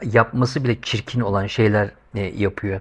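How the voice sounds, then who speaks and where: Over a quiet background, a man talks in an animated tone that is somewhat breathy. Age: 50s. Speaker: YouTuber. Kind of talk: monologue vlog commentary. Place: home room. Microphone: lapel.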